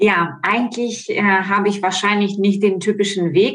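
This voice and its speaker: A woman speaks with a Ukrainian accent. Noticeable background noise can be heard. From Ukraine. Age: 40s. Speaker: model and coaching participant. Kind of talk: casual interview. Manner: hesitant with frequent fillers.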